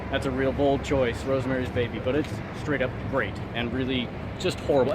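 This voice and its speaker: A man speaks at a medium pitch. Music plays behind him, and room echo is audible. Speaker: travel vlogger. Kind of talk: casual vlog narration. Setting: outdoors walking in Times Square. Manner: sarcastic, jokey.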